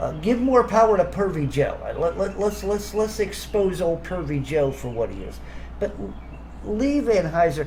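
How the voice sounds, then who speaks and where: A man talks at a moderate pace, with audible room echo and noticeable background noise. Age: 60s. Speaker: video commentator. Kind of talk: rant. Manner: stammering, repeats words; animated.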